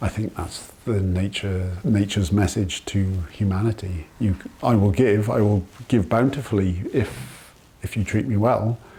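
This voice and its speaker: In a Welsh accent, a man speaks at a moderate pace and a fairly low pitch. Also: ordinary pitch variation. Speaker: farmer. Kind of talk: interview testimony.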